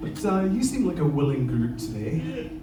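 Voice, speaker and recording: A man talks fairly quickly, his pitch swinging very widely, with audible room echo and noticeable background noise around him. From Scotland, Isle of Lewis, Outer Hebrides. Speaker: lava show presenter, former teacher. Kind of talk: live show presentation to audience. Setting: stage with audience. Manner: animated.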